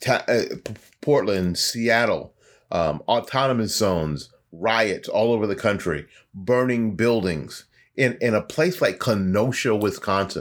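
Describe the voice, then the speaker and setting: The speaker is a man with lively intonation. He talks at a fairly slow pace. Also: medium pitch for a man. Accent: Florida. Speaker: podcast host. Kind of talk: solo monologue commentary.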